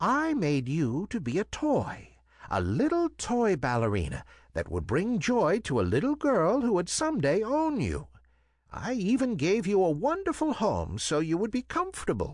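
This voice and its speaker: At a moderate pace over a quiet background, a man puts on a character voice pitched high. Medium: read story. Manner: gentle.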